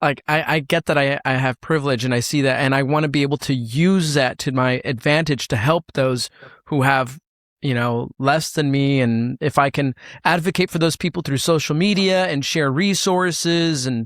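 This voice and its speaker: A plain, everyday voice, fairly high for a man, comes at a moderate pace with very even loudness and a dry, close sound with no echo. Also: ordinary pitch variation. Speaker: podcast host. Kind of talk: casual podcast conversation.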